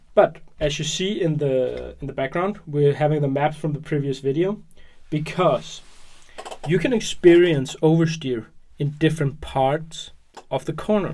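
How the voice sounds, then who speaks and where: The speech is mumbled. It comes at a moderate pace. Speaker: hobby tutorial youtuber. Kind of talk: tutorial. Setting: at work. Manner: mumbling; hesitant with fillers.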